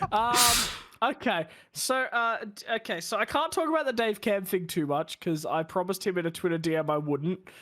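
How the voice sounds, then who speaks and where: A man with an Australian accent, high pitched and bright, sharp in tone, at a moderate pace with very wide pitch swings, on a very clean recording with a silent background. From Australia, Bathurst. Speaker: sim racing streamer. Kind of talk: casual chat.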